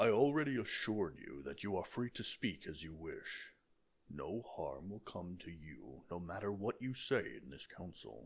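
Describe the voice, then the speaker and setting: A man puts on a character voice, fairly low in pitch, at a moderate pace. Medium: read story. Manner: authoritative, measured.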